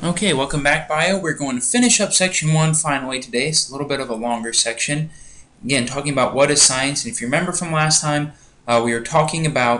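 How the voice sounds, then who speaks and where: Over noticeable background noise, someone talks very fast, the pitch varying in an ordinary way. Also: man, fairly high pitch for a man. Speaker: biology teacher. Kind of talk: lecture. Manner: casual, conversational.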